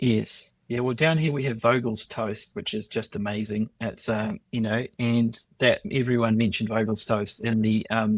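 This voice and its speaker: With a New Zealand accent, a man talks at a moderate pace and medium pitch, keeping his intonation fairly even. He leaves hardly any pauses, and the sound is dry and close with no echo. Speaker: podcast host. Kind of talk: interview conversation.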